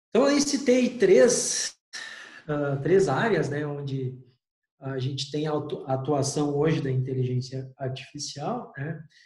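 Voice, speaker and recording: A man with a fairly high pitch and lively intonation speaks at a very slow pace, with audible room echo around him. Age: 40s. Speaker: university lecturer. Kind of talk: online lecture. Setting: remote class.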